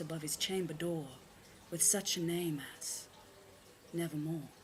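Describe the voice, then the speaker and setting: Somewhat breathy speech is heard. It comes from a woman. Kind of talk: poetry reading.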